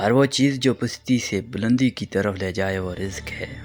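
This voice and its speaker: Music plays in the background as a man talks at a fairly low pitch with ordinary pitch variation. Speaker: radio-style voice-over presenter. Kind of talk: motivational quotes narration.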